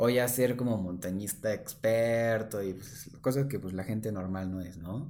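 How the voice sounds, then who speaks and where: With audible room echo around him, a man speaks slowly-ish at a fairly slow pace, his fairly low pitch carrying a dark, mellow tone. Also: ordinary pitch variation, hardly any pauses. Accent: Mexican. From Oaxaca, Mexico. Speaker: real estate agent. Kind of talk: casual chat.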